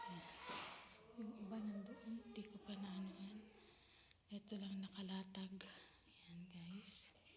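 Long pauses come often as someone talks very slowly. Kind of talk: sales pitch. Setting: shopping trip, filming items in a store. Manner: animated, persuasive.

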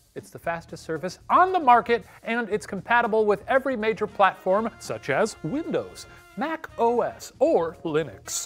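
A man at a fairly slow pace, faint music in the background. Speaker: show host. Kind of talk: sponsor read. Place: studio. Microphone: lapel.

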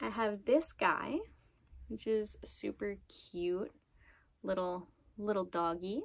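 A woman speaking very slowly, with long, frequent pauses, over a quiet background. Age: 20s. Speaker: knitting podcaster and craft business owner; knitting podcaster. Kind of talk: casual chat. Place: home room. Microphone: phone near.

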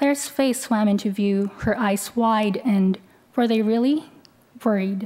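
A woman with a fairly high, somewhat breathy voice speaks at a fairly slow pace with fairly even intonation. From Philippines. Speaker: student writer. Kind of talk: reading aloud; literary reading. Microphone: podium.

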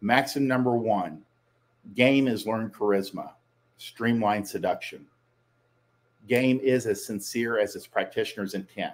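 Talking at a fairly slow pace, a man uses a medium pitch with ordinary pitch variation. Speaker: dating coach. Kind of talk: solo commentary.

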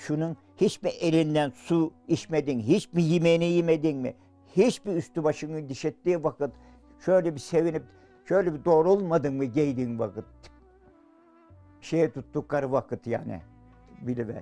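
Faint music sits behind a man who speaks at a moderate pace with ordinary pitch variation and long, frequent pauses. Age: 80s+. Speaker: villager caring for wife with Alzheimer's. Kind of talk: interview answer. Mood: tearful, emotional. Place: home room.

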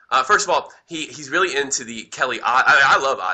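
This is a man with an American accent. He speaks at a fairly quick pace. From New Jersey. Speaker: hockey podcast host. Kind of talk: casual chat.

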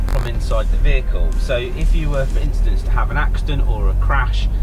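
The speech runs at a fairly quick pace while clear music plays in the background. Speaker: product reviewer driving. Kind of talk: product review commentary.

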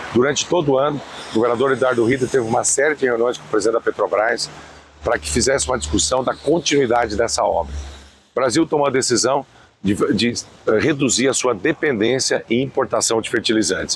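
A man talks at a very fast pace with ordinary pitch variation, in a dry sound with no echo and light background noise. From Brazil. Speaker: state government official. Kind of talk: news interview statement. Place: street. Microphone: lapel.

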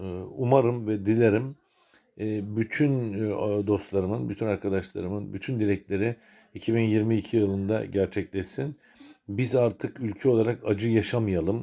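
At a fairly slow pace, a man with a fairly low pitch speaks in a dark, mellow tone with fairly even intonation. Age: 60s. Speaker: retired sea captain and video blogger. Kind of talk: personal new year video message. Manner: hesitant, many filler sounds.

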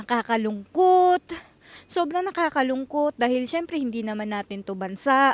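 The speech moves at a moderate pace with very wide pitch swings. The sound is dry and close, with no echo. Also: woman, high pitch for a woman. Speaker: vlogger and housekeeper in Japan. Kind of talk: casual vlog monologue.

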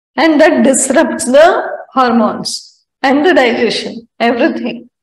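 Audible room echo fills the recording. A woman speaks with ordinary pitch variation. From India. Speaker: spiritual teacher. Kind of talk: spiritual talk mixing Hindi and English. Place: home room. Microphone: lapel.

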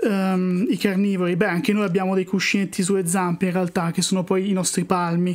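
The speech moves at a moderate pace in a monotone, flat intonation. The recording is very clean, with a silent background. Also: man. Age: 30s. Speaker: wildlife artist and YouTuber. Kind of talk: live-stream drawing session with chat Q&A. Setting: live stream.

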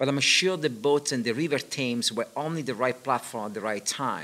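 With a non-native accent, a man speaks at a fairly high pitch with a bright, sharp tone and lively intonation. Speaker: interviewer. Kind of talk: reading aloud; interview. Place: hall. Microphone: studio mic.

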